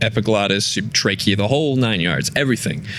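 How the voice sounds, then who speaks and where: A man with a fairly low voice talks over noticeable background noise. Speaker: metal vocalist. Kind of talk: interview answer.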